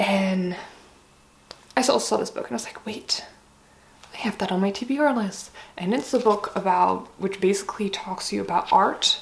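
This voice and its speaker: Over noticeable background noise, a woman talks at a moderate pace, leaving long, frequent pauses. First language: Dutch. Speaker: book vlogger. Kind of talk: casual chat. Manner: casual, hesitant with many fillers.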